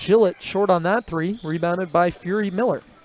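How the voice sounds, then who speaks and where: A man's high-pitched voice with ordinary pitch variation, at a moderate pace, over noticeable background noise. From Newfoundland. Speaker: play-by-play sports commentator. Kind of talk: live commentary. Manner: conversational, relaxed.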